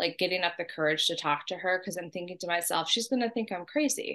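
Against a quiet background, a woman with an American accent has an unremarkable speaking voice, medium in pitch, with ordinary pitch variation. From US West Coast, San Diego. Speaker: guest sharing ghost stories. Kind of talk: casual storytelling.

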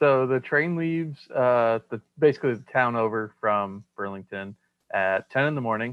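Here a man talks in a plain, everyday voice. His pace is moderate, with ordinary pitch variation. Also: medium pitch for a man. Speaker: game store worker and podcast co-host. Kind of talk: casual chat.

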